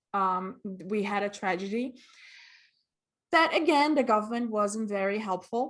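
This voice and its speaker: A woman with a fairly high pitch talks at a fairly slow pace, her intonation lively. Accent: Portuguese. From Brazil, Rio de Janeiro and Vitória. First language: Portuguese. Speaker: costumer and cosplayer. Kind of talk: interview.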